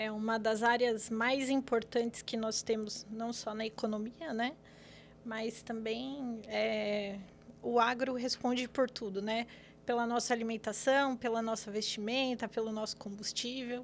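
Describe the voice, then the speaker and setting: The speaker is a woman with a fairly high pitch. Her intonation is monotone and flat. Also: fairly slow pace. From São Paulo city, Brazil. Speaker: lawyer. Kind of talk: podcast interview. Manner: hesitant, many fillers.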